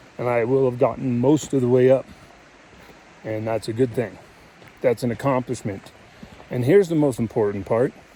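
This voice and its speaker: With noticeable background noise, a man speaks with long, frequent pauses. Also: medium pitch for a man, ordinary pitch variation, moderate pace. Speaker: hiking vlogger. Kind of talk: vlog monologue. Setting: outdoors on a mountain trail. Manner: halting.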